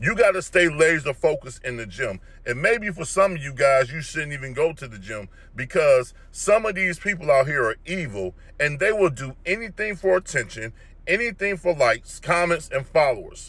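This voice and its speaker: Here a man speaks at a moderate pace with big swings in loudness. The sound is dry with no echo. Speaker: fitness commentator. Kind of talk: opinion rant vlog. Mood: disapproving, lecturing. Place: car. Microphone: phone near.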